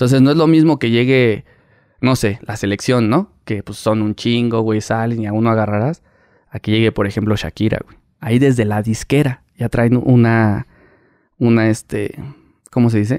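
A man's unremarkable speaking voice at medium pitch, moderate pace and fairly even intonation, with big swings in loudness, dry and close with no echo on a very clean recording with a silent background. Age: 30s. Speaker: paparazzi photographer. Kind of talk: casual interview chat.

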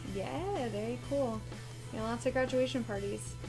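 A woman is talking over clear music playing in the background. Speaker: card break host. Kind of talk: casual live stream chat. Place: office.

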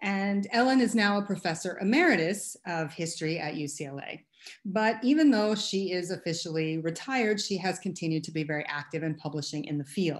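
A woman speaks at a fairly quick pace with lively intonation over a quiet background. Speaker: professor introducing a guest speaker. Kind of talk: lecture introduction. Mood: warm, smiling. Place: home room. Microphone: webcam.

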